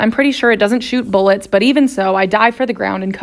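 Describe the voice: The voice is plain reading aloud. Its pitch shifts in an ordinary way.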